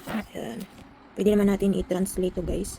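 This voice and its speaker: Noticeable background noise sits behind a woman's voice. She talks at a medium pitch and a moderate pace with fairly even intonation. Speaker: small YouTuber, unboxing products. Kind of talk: casual unboxing vlog.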